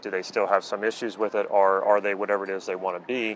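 Man at fairly low pitch with fairly even intonation, dry sound with no echo and light background noise. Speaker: coach. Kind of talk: explanatory talk to camera. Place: waterside.

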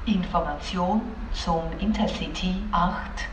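A woman speaks at a very slow pace. Audible room echo and light background noise are present. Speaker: train station announcer. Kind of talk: train station announcement. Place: station.

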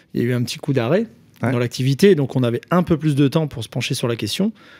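Ordinary pitch variation runs through this dark, mellow voice. Nothing can be heard behind it. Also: man. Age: 30s. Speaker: electrician and social media influencer; podcast guest, tradesman influencer. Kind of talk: casual chat; interview answer. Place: studio. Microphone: studio mic.

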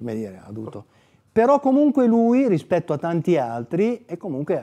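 The pace is moderate and the tone dark and mellow. This male speaker's pitch swings very widely. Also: quiet background. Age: 60s. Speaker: author and former prisoner; interviewee. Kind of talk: book presentation interview. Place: studio. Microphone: lapel.

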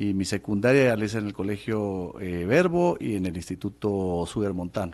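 Delivered in a plain, everyday voice, the speech keeps a moderate pace with ordinary pitch variation and hardly any pauses. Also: man, fairly low pitch for a man. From Guatemala City. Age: 50s. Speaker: former public official; interview guest. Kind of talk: testimony. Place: studio. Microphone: studio mic.

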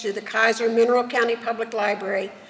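In a monotone, flat intonation, a woman talks at a fairly quick pace. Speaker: presenter. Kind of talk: formal reading of award citations. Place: hall. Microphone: podium.

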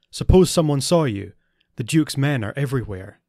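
The recording is very clean, with a silent background and some hissing. A put-on character voice moves at a fairly quick pace with lively intonation. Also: man, medium pitch for a man. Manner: hissed, urgent.

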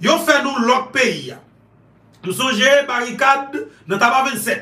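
A man speaks in a raised, projected voice with an extremely high pitch. Room echo is audible. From Haiti. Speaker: online news commentator. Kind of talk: political commentary monologue. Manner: animated. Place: home room. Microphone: phone near.

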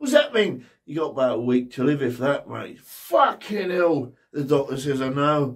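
The speaker is a man. Little can be heard behind him. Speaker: comedian. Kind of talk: stand-up joke telling. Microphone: handheld.

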